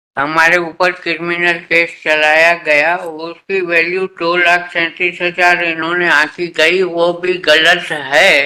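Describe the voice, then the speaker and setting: The voice keeps very even loudness and has hardly any pauses. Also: man, high pitch for a man. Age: 80s+. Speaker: retired employee arguing own case in court. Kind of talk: court hearing argument.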